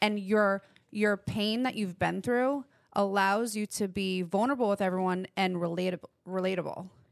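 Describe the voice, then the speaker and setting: A woman's unremarkable speaking voice, medium in pitch with fairly even intonation, at a moderate pace, in a very clean recording with a silent background and a dry, close sound with no echo. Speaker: podcast co-host.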